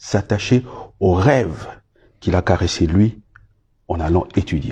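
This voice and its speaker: Against a quiet background, a man's voice comes through somewhat breathy with a dark, mellow tone. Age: 60s. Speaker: former government minister. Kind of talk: interview. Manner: halting, many hesitations.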